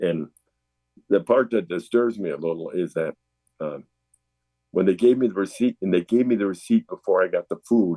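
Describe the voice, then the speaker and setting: At a moderate pace with long, frequent pauses, a man speaks in a fairly low voice with a dark, mellow tone and ordinary pitch variation. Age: 70s. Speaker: recovering alcoholic sharing his story. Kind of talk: interview testimony. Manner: halting, many fillers.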